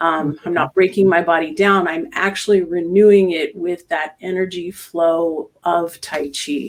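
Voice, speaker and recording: A woman with an unremarkable speaking voice talks fairly slowly at a fairly low pitch, her intonation fairly even. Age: 60s. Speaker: tai chi instructor. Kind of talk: interview.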